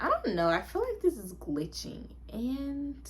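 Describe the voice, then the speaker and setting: A woman talks at a fairly slow pace, and noticeable background noise can be heard. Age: 20s. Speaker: notary public. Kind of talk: casual talk to camera. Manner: casual, chatty.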